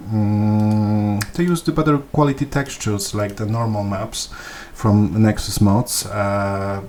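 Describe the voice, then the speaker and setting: A man speaks at a fairly slow pace with a Polish accent. His pitch is fairly low. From Poland. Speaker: gaming video creator. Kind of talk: tutorial. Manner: halting, many fillers and repetitions.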